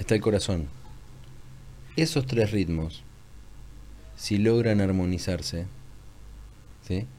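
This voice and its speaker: In a calm, soothing tone, a man with a fairly low, dark, mellow voice speaks very slowly with lively intonation and long, frequent pauses, amid audible room echo. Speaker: holistic therapist. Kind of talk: casual interview conversation. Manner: ordered, measured.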